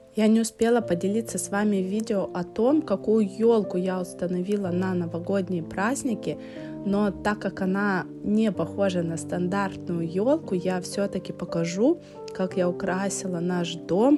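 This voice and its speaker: A woman speaks at a fairly slow pace, her pitch medium with ordinary variation. Music plays in the background. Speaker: home organization vlogger. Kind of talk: voice-over narration of cleaning vlog.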